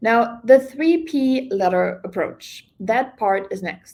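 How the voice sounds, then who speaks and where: A woman speaks with a non-native accent. Her intonation is lively. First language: not English. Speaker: real estate coach. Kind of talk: online class.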